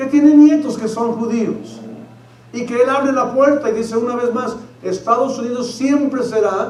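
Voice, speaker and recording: A man's extremely high voice at a fairly slow pace, fairly even in intonation, with audible room echo and noticeable background noise. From Mexico. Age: 50s. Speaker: pastor. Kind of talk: sermon.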